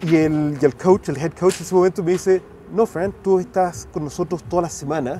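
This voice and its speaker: A high-pitched man talks at a fairly quick pace while noticeable background noise runs underneath. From Chile, raised partly in the US. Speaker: rugby mental skills coach and educator. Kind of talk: podcast interview. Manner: halting, frequent self-corrections.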